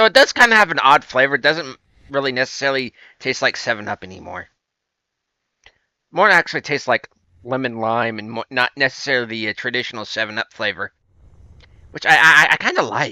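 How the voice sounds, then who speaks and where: With an American accent, this speaker uses a bright, sharp tone and lively intonation at a fairly quick pace, leaving long, frequent pauses, in a dry, close sound with no echo on a very clean recording with a silent background. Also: man, medium pitch for a man. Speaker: gaming video creator. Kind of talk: let's play commentary. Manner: halting.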